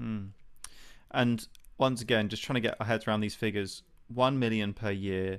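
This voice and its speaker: In a British accent, the speaker keeps fairly even intonation at a moderate pace with long, frequent pauses, on a very clean recording with a silent background. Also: man, fairly low pitch for a man. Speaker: podcast host, pro-life campaigner. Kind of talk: interview conversation.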